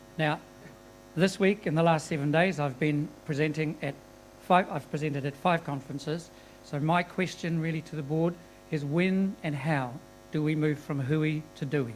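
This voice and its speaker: A New Zealand accent comes through at a moderate pace with fairly even intonation. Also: man, fairly high pitch for a man. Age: 60s. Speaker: audience member. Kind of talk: audience question.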